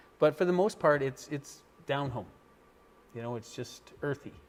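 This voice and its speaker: A man with a western Canadian accent at a moderate pace. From western Canada, Fort St. John, British Columbia. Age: 60s. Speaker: local business owner. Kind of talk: casual interview.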